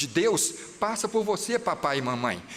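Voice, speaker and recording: A man is speaking. His intonation is lively. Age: 60s. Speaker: pastor. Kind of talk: sermon. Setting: church. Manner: animated.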